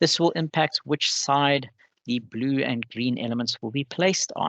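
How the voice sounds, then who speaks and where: Against a quiet background, a man with an ordinary speaking voice talks fairly slowly at a fairly high pitch, with lively intonation in a dry, close sound with no echo. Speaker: webinar presenter for robotics competition. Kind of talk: webinar presentation. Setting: online webinar.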